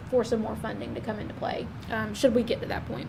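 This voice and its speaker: A woman with a fairly high pitch talks at a very fast pace over noticeable background noise. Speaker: county staff presenting project reports. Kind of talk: public meeting report.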